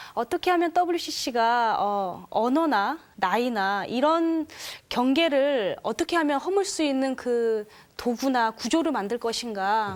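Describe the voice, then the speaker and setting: At a very slow pace, a woman speaks in a high pitch with very wide pitch swings and very even loudness. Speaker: church youth delegate. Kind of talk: panel discussion. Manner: hesitant with fillers.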